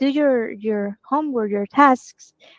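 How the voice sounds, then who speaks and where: Dry and close with no echo, a woman with a Spanish accent speaks at a high pitch with ordinary pitch variation. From Venezuela. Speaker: marketing team member. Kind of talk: casual chat.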